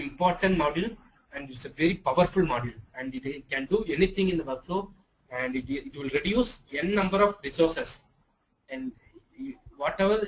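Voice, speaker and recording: Talking at a fairly quick pace, a man uses a high pitch, lively intonation, and big swings in loudness. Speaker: software trainer. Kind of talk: online class lecture. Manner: halting, many fillers.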